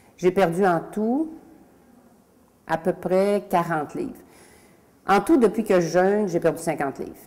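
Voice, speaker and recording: With a Quebec accent, a woman talks at a medium pitch in a dark, mellow tone. Her pace is fairly slow, with long, frequent pauses. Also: lively intonation. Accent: Québécois French. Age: 60s. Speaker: testimonial client. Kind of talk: testimony. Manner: halting.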